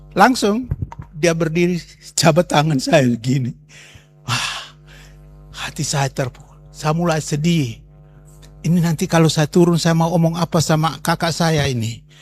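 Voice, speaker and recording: A man's fairly high-pitched voice with ordinary pitch variation, a fairly slow pace and long, frequent pauses, over music in the background. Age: 70s. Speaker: pastor. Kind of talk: testimony. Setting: talk to students at a Bible school.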